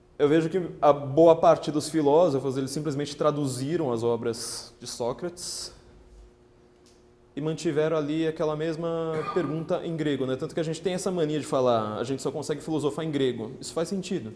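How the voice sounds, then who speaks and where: In a dark, mellow tone, a man speaks at a fairly high pitch with ordinary pitch variation. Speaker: political writer and lecturer. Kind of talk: lecture. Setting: parish hall with live audience. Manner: fast.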